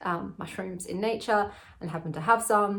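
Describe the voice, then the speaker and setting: Her delivery is somewhat breathy, with fairly even intonation. This woman keeps a moderate pace. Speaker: vlogger sharing personal experience. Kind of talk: personal testimony monologue. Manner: rambling, casual.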